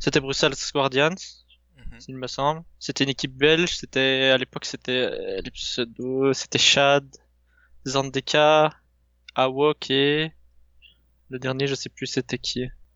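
Speaking at a very slow pace with long, frequent pauses, a man with a fairly high pitch keeps a monotone, flat intonation. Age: 20s. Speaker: esports team leader. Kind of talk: podcast interview. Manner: halting, many fillers and repetitions.

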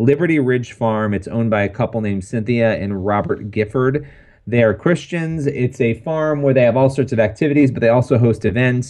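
A man's normal speaking voice with an American accent, medium-pitched with ordinary pitch variation, at a fairly quick pace with hardly any pauses. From New York. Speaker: podcast co-host. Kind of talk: casual chat. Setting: studio.

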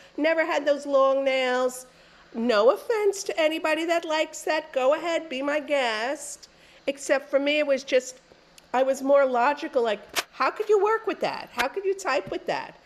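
With a New York accent, a woman talks in a high-pitched voice with lively intonation. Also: moderate pace. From New York City, Queens. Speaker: author and former music journalist. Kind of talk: interview.

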